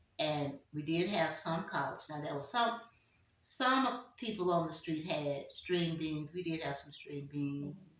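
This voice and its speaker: Through noticeable background noise, a woman with a fairly low pitch speaks fairly slowly with lively intonation. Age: 80s+. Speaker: community elder. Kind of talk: interview answer.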